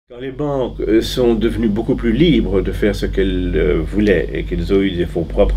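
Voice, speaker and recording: There is noticeable background noise along with audible room echo. Through it, a man talks at a moderate pace. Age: 60s. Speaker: former bank trader. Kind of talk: interview. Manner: halting with many hesitations.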